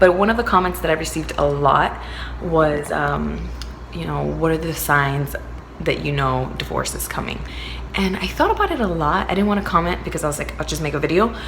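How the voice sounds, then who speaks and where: The speech comes at a fairly quick pace, with audible room echo and noticeable background noise. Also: woman. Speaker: vlogger. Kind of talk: casual vlog talk. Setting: at a partner's new home. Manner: lowered voice, quieter; halting, filler words.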